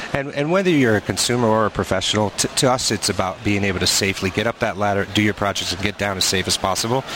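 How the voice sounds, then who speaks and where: A man rattles along at a very fast pace with hardly any pauses amid noticeable background noise. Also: fairly low pitch for a man, ordinary pitch variation. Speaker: ladder company representative. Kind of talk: product interview. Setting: trade show floor.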